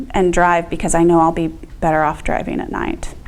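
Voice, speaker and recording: A woman is speaking. Room echo is audible and background noise is noticeable. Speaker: vestibular disorder patient speaking to nursing students. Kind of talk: talk to students with Q&A. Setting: classroom talk, being taped. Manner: hesitant, many ums.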